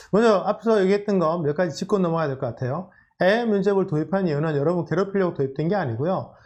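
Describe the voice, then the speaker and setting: Ordinary pitch variation is heard over a quiet background. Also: man. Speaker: career coach lecturer. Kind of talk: lecture. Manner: fast.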